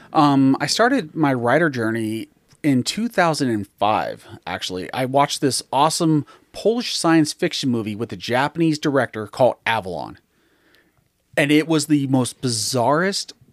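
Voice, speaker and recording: A man with an ordinary speaking voice and a fairly high pitch speaks at a moderate pace. The sound is dry and close with no echo, in a very clean recording with a silent background. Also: lively intonation. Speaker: author. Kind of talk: casual chat.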